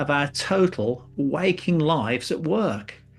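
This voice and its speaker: Against a quiet background, a man talks with an English accent. His pitch sits fairly high. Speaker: business columnist and speaker. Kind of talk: reading aloud. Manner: conversational.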